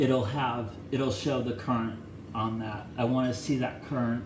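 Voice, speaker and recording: A man of medium pitch speaks at a fairly slow pace with fairly even intonation. Noticeable background noise and audible room echo fill the recording. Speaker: electronics hobbyist YouTuber. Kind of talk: casual hands-on teardown tutorial. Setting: bathroom. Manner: loud.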